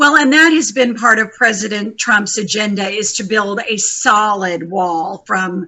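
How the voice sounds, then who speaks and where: A woman with a plain, everyday voice speaks at a fairly slow pace with hardly any pauses. Her pitch is fairly high, with ordinary pitch variation. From US South, Texas Rio Grande Valley. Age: 50s. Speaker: activist and nature center director. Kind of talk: interview.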